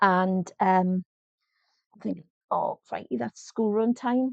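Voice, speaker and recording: A woman speaks with a Geordie accent over a quiet background. The sound is dry and close, with no echo. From North East England. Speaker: life coach. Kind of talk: casual talk to camera. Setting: home, small microphone.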